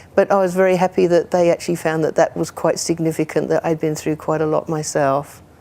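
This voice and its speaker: A woman's fairly low, dark, mellow voice runs at a very fast pace with hardly any pauses and a monotone, flat intonation. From England, near London. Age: 60s. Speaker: community group member telling her life story. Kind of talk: personal testimony. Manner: hesitant, with fillers and restarts.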